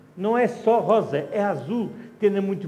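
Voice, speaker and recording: A man speaks over noticeable background noise. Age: 70s. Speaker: wine educator. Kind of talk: wine tasting talk. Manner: halting, with false starts.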